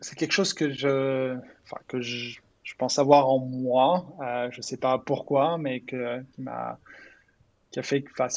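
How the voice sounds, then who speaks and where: A man's medium-pitched voice at a very slow pace, with fairly even intonation, big swings in loudness and long, frequent pauses. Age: 30s. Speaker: startup founder and CEO. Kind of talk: interview. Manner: halting, many repetitions and fillers.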